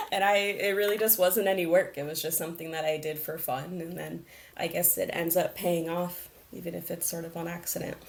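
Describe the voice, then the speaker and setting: Speaking at a fairly quick pace, a woman with an American accent uses a plain, everyday voice at a fairly low pitch with fairly even intonation. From Las Vegas, US. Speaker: arts program manager. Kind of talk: interview.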